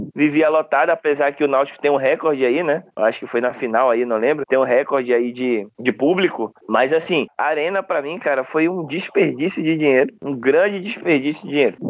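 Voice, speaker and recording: A man's fairly high, fairly quick speech with hardly any pauses and ordinary pitch variation. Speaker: football fan panelist. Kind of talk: casual chat.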